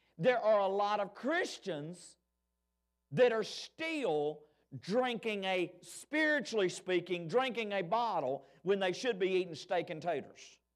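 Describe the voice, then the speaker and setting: A man with an Alabama accent speaks at a fairly slow pace and a high pitch, his tone animated and his intonation lively. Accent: Southern US (Alabama). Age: 40s. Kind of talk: Sunday school lesson. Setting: church.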